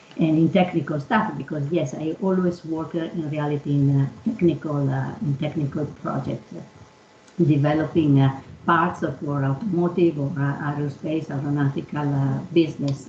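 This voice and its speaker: A woman with an Italian accent speaks at a very deep, low pitch. She keeps a moderate pace with hardly any pauses. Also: ordinary pitch variation. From Italy. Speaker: engineering executive. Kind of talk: panel discussion. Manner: halting, many fillers.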